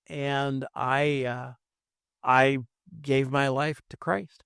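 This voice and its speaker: On a very clean recording with a silent background, a man talks in an American accent. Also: dry, close sound with no echo. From California, San Francisco Bay Area. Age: 70s. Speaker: podcast guest. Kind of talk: casual interview, testimony. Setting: studio. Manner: halting, many fillers.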